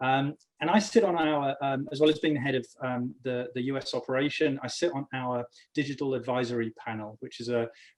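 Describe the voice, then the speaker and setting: At a fairly quick pace, a man with an English accent speaks at a fairly high pitch. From England. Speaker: business executive. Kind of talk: panel discussion.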